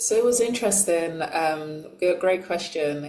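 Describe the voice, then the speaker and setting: Spoken at a fairly slow pace with a London accent, this voice comes through audible room echo and noticeable background noise. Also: woman. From London, England (from age six; born in Nigeria). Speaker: transformational coach. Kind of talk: interview testimony. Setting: podcast interview.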